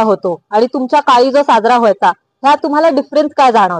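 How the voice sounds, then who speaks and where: A woman's high-pitched voice with lively intonation, in a dry, close sound with no echo. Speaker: reporter, street interviewer. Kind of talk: interview question, news-style intro.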